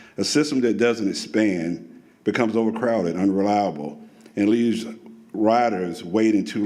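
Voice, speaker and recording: The man's voice has a fairly low pitch and a dark, mellow tone, with ordinary pitch variation. He speaks at a moderate pace, and room echo can be heard. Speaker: public commenter at transit meeting. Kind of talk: public comment. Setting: public meeting.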